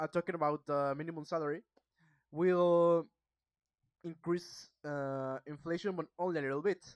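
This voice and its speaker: A woman with a Mexican accent speaks at a moderate pace in a fairly low pitch. Her delivery is a flat monotone, and the sound is dry and close with no echo. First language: Spanish. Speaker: student practicing English, video blogger. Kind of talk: casual monologue book review. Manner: halting, hesitant.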